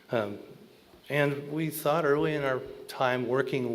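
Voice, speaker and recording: Audible room echo surrounds a man talking with an American accent. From Alaska. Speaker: conservation strategist. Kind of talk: panel talk. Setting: stage with audience. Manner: loud.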